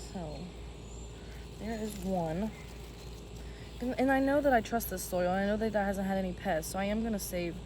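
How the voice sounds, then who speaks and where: A woman with long, frequent pauses amid audible room echo. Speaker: plant content creator. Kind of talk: casual tutorial vlog. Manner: fast.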